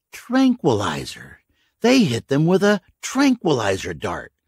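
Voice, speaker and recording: A man puts on a character voice at a fairly high pitch, with very wide pitch swings and a fairly slow pace. The recording is very clean and dry, close with no echo, over a silent background. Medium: read story. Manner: sarcastic, blunt.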